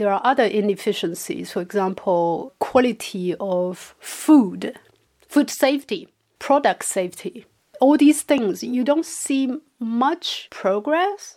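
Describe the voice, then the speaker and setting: A woman with a Chinese accent speaks very slowly in a dark, mellow tone. Her fairly high pitch swings very widely. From China. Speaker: podcast co-host. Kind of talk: casual chat.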